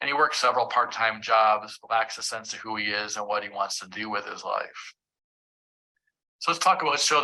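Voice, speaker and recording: A man speaks at medium pitch. His tone is bright and sharp. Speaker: psychology professor and clinician. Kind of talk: lecture. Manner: fast.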